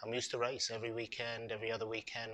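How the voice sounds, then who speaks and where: The tone is bright and sharp. It comes with a British accent. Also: man. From UK. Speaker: ex-marine and charity co-founder. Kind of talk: interview. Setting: hotel venue podcast recording. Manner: hesitant, many fillers.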